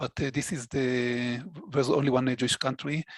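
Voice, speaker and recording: A man with an Israeli accent, dry and close with no echo, on a very clean recording with a silent background. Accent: Israeli accent, needs improving. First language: Hebrew. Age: 60s. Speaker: database administrator. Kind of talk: interview conversation. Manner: halting, many fillers.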